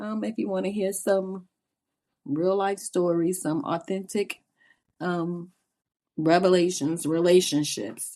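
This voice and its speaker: This woman speaks very slowly with a Southern Louisiana accent. Her voice is dark and mellow, with medium pitch and ordinary pitch variation. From US South, Louisiana (New Orleans). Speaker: podcast co-host, mother. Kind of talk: casual chat.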